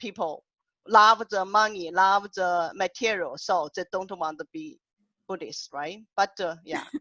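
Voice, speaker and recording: A woman's medium-pitched voice with a strong Chinese accent, bright and sharp in tone, fairly slow, with ordinary pitch variation, big swings in loudness, and a dry, close sound free of echo. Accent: heavy Chinese. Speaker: poet and workshop host. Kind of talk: panel discussion on Zoom. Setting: video call. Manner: halting.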